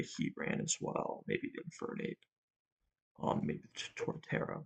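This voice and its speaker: A man speaks quietly at a fairly slow pace. The sound is dry and close, with no echo. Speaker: Pokemon draft league player and content creator. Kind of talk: casual solo commentary on team building. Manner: quiet, late-night talking; hesitant, many ums.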